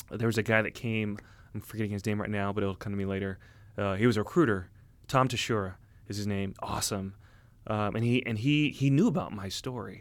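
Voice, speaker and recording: A man with an American accent has a fairly low pitch and an unremarkable speaking voice. He talks at a fairly quick pace with ordinary pitch variation. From Southern California, Orange County. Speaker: army special forces officer. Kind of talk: casual interview conversation. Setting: sitting down over a drink.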